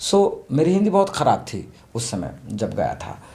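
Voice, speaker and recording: A man with an Odia accent speaks with lively intonation. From Odisha, India (small village). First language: Odia (speaking Hindi). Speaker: theatre actor and director. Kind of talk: interview. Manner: halting, with many fillers.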